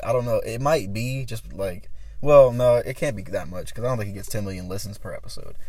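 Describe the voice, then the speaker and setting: Delivered at a very fast pace, a man's voice has an animated tone. His loudness swings widely. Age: 20s. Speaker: podcast host. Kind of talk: casual chat.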